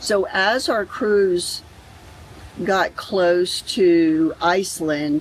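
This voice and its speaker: With an American accent, a woman speaks with ordinary pitch variation over noticeable background noise. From Florida. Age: 60s. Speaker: travel vlogger. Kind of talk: vlog narration.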